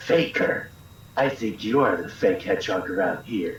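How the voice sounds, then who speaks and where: A put-on character voice at a moderate pace, with slight echo. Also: man, medium pitch for a man. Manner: cold, contemptuous.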